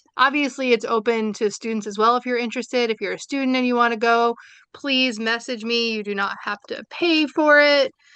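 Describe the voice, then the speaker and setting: Speaking at a fairly quick pace with an American accent, a woman keeps her intonation fairly even. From New York, Brooklyn. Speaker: seminar series organizer and social work educator. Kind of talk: closing remarks at online seminar. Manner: casual, with many fillers.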